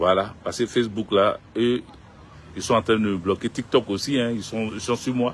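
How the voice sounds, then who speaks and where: Using a normal speaking voice, a man talks at a moderate pace with a medium pitch and fairly even intonation. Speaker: political commentator. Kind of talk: live stream monologue. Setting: social media live stream.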